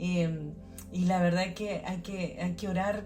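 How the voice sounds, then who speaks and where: Music plays in the background, and there is audible room echo. A woman with fairly low pitch speaks at a fairly slow pace. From Chile. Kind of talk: devotional podcast talk. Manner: halting, many fillers and repetitions.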